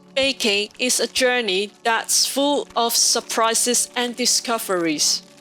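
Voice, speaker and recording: Spoken very slowly with a non-native accent, this voice keeps very even loudness and ordinary pitch variation while music plays in the background. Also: woman, fairly high pitch for a woman. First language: not English. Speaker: home baker, cooking video host. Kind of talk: scripted narration. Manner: formal.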